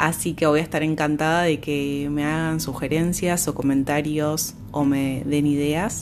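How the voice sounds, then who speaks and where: With an Argentine accent, a woman speaks at a fairly slow pace in a very deep, low pitch with monotone, flat intonation. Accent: Argentine Spanish (voseo). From Argentina (province outside Buenos Aires). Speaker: ontological coach and mindfulness teacher. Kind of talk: casual introduction; guided meditation. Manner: slow, calm.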